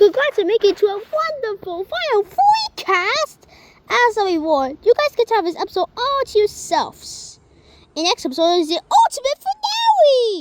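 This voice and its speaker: An extremely high, cartoonish character voice moves at a moderate pace. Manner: excitable, quick announcer patter.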